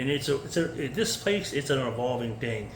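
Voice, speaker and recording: Talking at a fairly quick pace, a man is heard with audible room echo. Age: 40s. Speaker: food service worker vlogger. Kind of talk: unscripted casual monologue. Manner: fast.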